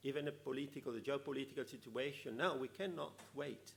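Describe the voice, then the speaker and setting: A man with an Italian accent speaks at a moderate pace, his pitch fairly high for a man. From Italy. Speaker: conference speaker, EU policy official. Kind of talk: conference talk. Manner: halting, many fillers.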